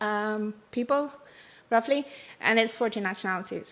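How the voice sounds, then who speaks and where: The speech comes at a fairly quick pace. Its tone is bright and sharp. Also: woman. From Ireland. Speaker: bioinformatics data resource scientist. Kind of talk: conference talk. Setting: conference workshop.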